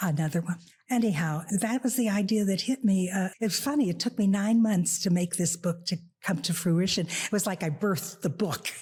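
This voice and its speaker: Over noticeable background noise, the voice holds very even loudness with ordinary pitch variation. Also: woman. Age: 90s. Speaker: author. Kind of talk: casual chat.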